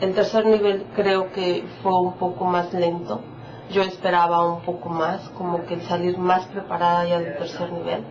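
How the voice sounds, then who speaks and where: Woman's fairly low voice at a fairly slow pace, with fairly even intonation, audible room echo and noticeable background noise. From Mexico, Michoacán. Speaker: immigrant psychologist, French course student. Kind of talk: documentary interview. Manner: hesitant, with fillers.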